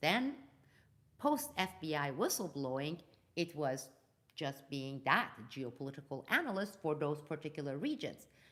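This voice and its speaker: Speaking with a Turkish accent, a woman with a fairly low pitch uses lively intonation and an animated tone at a moderate pace. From Turkey and Iran. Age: 50s. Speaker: geopolitical analyst and whistleblower. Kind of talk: live news commentary. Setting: live video stream.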